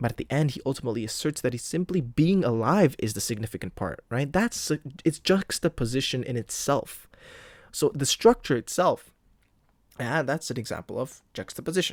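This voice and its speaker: A man speaks fairly quickly in a plain, everyday voice, pitched fairly high with lively intonation. The sound is dry and close, with no echo. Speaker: literature video host. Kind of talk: lecture. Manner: casual, many fillers.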